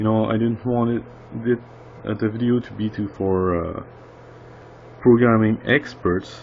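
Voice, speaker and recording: With a non-native accent, the speaker's pitch varies in an ordinary way. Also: man. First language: not English. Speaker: indie game developer. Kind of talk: casual tutorial monologue. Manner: halting, many fillers.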